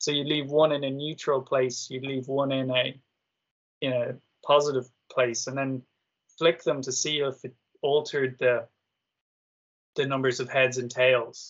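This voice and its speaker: At a moderate pace, a man with a medium pitch speaks in a monotone, flat way, leaving long, frequent pauses. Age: 30s. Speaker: author and theorist. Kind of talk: casual chat.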